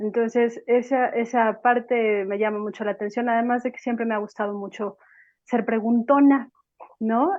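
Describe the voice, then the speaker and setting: A woman speaks at a moderate pace with fairly high pitch and fairly even intonation. She has an unremarkable speaking voice. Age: 40s. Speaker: psychologist. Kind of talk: panel talk.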